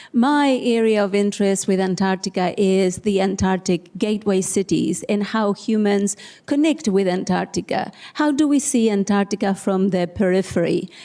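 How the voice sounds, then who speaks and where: The tone is dark and mellow, with very even loudness. The speaker has an Argentine accent. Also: woman, medium pitch for a woman, ordinary pitch variation, moderate pace. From Argentina, Tierra del Fuego. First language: Spanish. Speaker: social scientist. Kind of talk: panel discussion.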